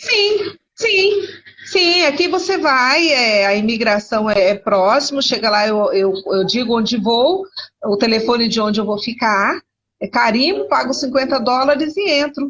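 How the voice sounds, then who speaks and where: Fairly slow delivery with very even loudness and very wide pitch swings. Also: woman, high pitch for a woman. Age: 60s. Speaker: missionary and historian. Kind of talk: interview conversation. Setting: video call from internet cafe. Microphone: unstable connection.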